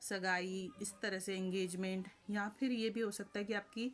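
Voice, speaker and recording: A woman talks fairly slowly, her intonation monotone and flat. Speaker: tarot reader. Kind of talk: tarot reading. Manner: hesitant, frequent fillers.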